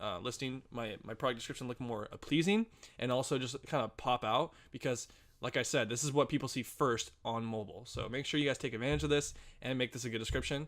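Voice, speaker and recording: Talking at a very fast pace, a man keeps a medium pitch with ordinary pitch variation. The recording is very clean, with a silent background. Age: 20s. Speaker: online business tutorial creator. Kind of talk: tutorial. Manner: halting, occasional stutter.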